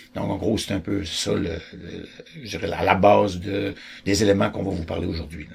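The voice moves at a moderate pace with fairly even intonation. Audible room echo and noticeable background noise surround it. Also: man, very deep, low pitch for a man. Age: 60s. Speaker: choice theory educator. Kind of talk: explanatory talk.

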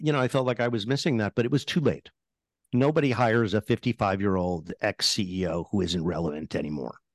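A man with an unremarkable speaking voice and a medium pitch talks at a fairly quick pace with lively intonation. The sound is dry and close with no echo, over a quiet background. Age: 60s. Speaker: tech columnist and author. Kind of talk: interview. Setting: remote call from home.

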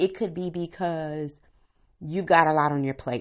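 Speaking at a moderate pace, a woman has a normal speaking voice and fairly low pitch. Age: 40s. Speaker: podcast host, stay-at-home mom. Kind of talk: casual solo monologue. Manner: conversational, laughing at times.

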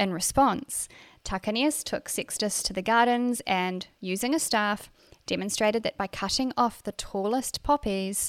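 Recorded very cleanly with a silent background and a dry, close sound with no echo, a woman speaks at a fairly slow pace in a New Zealand accent, at medium pitch with ordinary pitch variation. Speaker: podcast host and racing driver. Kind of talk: solo monologue podcast episode. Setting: studio. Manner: casual, chatty, laughs often.

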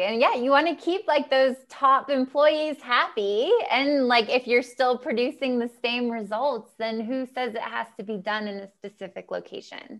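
With an American accent, a woman speaks at a moderate pace in a high pitch with ordinary pitch variation. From United States. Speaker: travel podcast host. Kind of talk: interview, casual chat. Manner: enthusiastic.

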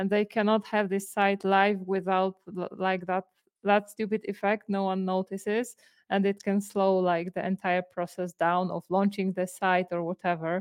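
A woman speaks with a clear, smooth tone and little pitch movement. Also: medium pitch for a woman, moderate pace.

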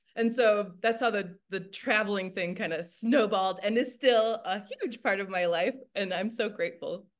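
Speaking with an American accent and hardly any pauses, a woman holds a medium pitch with ordinary pitch variation. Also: moderate pace. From Michigan, US Midwest. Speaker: energy work facilitator and massage therapist. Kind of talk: casual interview. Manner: animated.

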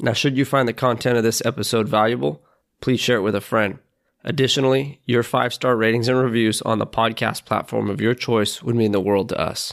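Here is a man with a plain, everyday voice at medium pitch. His intonation is fairly even and his pace fairly quick. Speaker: podcast host. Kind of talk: interview conversation. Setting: remote call.

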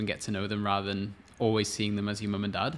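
The speaker is a man with a fairly low voice. He delivers everything in a flat monotone. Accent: Welsh. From Wales. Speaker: relationship coach. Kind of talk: casual chat.

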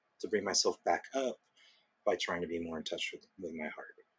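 A man is speaking. His tone is relaxed. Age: 40s. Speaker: small business owner. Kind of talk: interview.

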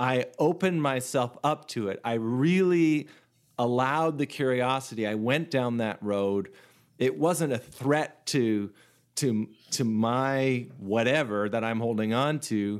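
A man with a Canadian accent has an unremarkable speaking voice, medium in pitch with ordinary variation, at a fairly slow pace. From Canada. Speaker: singer-songwriter and facilitator. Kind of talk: casual interview chat. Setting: remote call.

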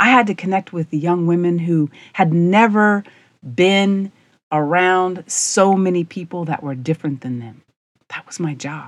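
This woman has an ordinary speaking voice, fairly low in pitch, with an American accent, ordinary pitch variation and a moderate pace. Her loudness swings widely, and the recording is very clean with a silent background. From rural US. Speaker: podcast host, leadership coach. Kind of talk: monologue storytelling.

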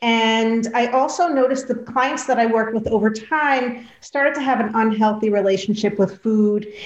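A woman's plain, everyday voice, fairly high in pitch, at a moderate pace with hardly any pauses, very even loudness and fairly even intonation. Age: 50s. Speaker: dietitian and health coach. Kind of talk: interview.

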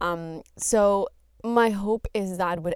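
Ordinary pitch variation and a very slow pace on a very clean recording with a silent background. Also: woman. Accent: Spanish. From Colombia. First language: Spanish. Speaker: podcast host. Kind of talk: solo monologue podcast.

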